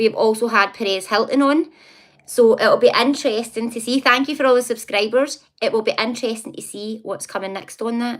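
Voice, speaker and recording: A woman speaks in a Scottish accent at a fairly quick pace. Her pitch is high, with ordinary pitch variation. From Scotland, near Glasgow. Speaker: psychic live streamer. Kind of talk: casual live stream chat. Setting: live stream. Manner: fast, especially when excited.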